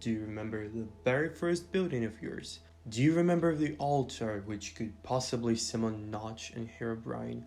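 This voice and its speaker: A man with a medium pitch talks at a moderate pace and with lively intonation, with audible room echo and music in the background. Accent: non-native. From Eastern Europe. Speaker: gaming YouTuber. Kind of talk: video essay narration.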